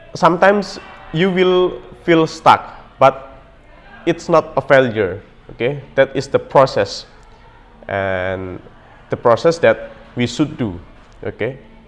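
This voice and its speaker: Very slow and broken by long, frequent pauses, a man's fairly high voice makes very wide pitch swings. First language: not English. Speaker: language learning vlogger. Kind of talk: motivational talk to camera. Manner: hesitant with many fillers.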